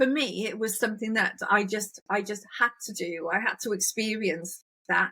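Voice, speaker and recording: A woman with a British accent speaks in a bright, sharp tone. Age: 60s. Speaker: podcast host. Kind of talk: casual interview chat.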